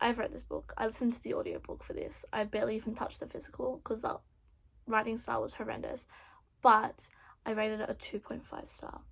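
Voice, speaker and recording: Over a very clean recording with a silent background, a woman speaks at a fairly quick pace with big swings in loudness and long, frequent pauses. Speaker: booktuber. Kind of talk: casual vlog talk. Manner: fast; animated.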